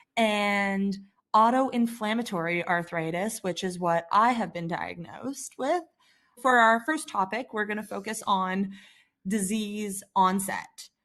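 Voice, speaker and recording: Speaking at a fairly slow pace with a Canadian accent, a woman uses a normal speaking voice at medium pitch with ordinary pitch variation against a quiet background. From Canada. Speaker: patient advocate. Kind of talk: scripted narration; interview.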